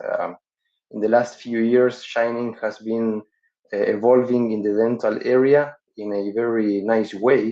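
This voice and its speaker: A man speaks with a Spanish accent at a medium pitch. His intonation stays monotone and flat. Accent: non-native English, Spanish-accented. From Uruguay. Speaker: dental surgeon and professor. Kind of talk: webinar lecture. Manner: halting, frequent fillers.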